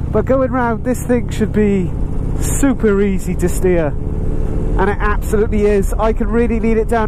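Over noticeable background noise, a man with a high pitch speaks at a moderate pace, with fairly even intonation and very even loudness. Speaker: motorcycle reviewer. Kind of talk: riding commentary vlog. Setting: outdoors, on a moving motorbike with helmet wind buffeting.

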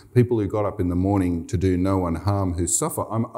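Someone reads aloud plainly, with a fairly even intonation.

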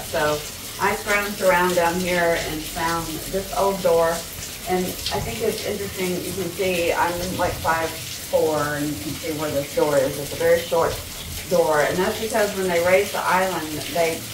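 A woman speaks at a moderate pace in a fairly low pitch. Her intonation stays fairly even, and there is noticeable background noise. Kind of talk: casual vlog chat. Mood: frustrated but practical. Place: home room. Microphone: camera far.

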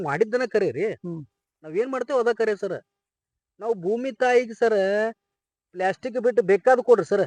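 A man with a North Karnataka accent speaks in a high voice with ordinary pitch variation. The sound is dry and close, with no echo. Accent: north Karnataka Kannada dialect. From India, Belagavi district, northern Karnataka (Savadatti taluk). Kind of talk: interview.

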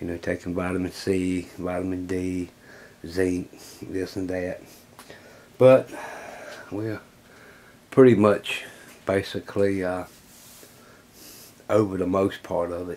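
A man speaks at a very deep, low pitch with monotone, flat intonation. His pace is fairly slow, broken by long, frequent pauses. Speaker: hobby workshop channel host. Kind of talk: casual vlog chat. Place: workshop.

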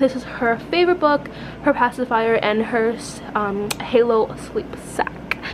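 A woman with a high-pitched voice speaks at a fairly slow pace over noticeable background noise. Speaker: mother vlogger. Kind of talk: casual vlog chat. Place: home room. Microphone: phone near.

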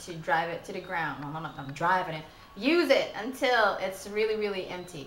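A woman's voice comes with audible room echo and light background noise. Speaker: beauty vlogger. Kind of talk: casual vlog chat. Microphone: phone near.

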